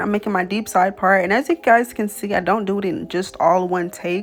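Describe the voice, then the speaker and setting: Music plays in the background. A woman talks at a moderate pace in a medium pitch. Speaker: beauty YouTuber. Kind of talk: tutorial voiceover. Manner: casual, chatty.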